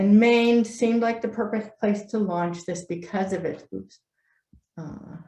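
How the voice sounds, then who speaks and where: At a fairly slow pace, a woman speaks at medium pitch with a dark, mellow tone, somewhat breathy and with fairly even intonation, her loudness swinging widely. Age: 60s. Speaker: native plant propagation expert, nonprofit founder. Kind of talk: presentation.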